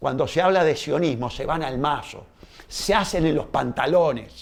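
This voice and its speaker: This man talks at a moderate pace with an animated tone, his fairly high voice showing ordinary pitch variation. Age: 60s. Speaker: lawyer and politician. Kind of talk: interview.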